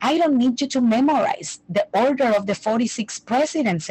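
Somewhat breathy and fairly slow, a woman speaks with ordinary pitch variation in a dry, close sound with no echo. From Puerto Rico. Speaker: language teacher. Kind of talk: interview conversation. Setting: remote call.

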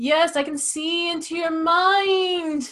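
A woman performs a put-on character voice at an extremely high pitch. She speaks at a very slow pace with fairly even intonation. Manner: mysterious.

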